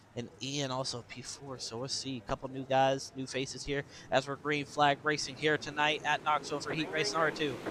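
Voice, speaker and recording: Talking at a fairly quick pace with hardly any pauses, a man with a fairly high pitch keeps a flat, monotone intonation amid noticeable background noise. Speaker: sim racing commentator. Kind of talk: live commentary. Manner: fast.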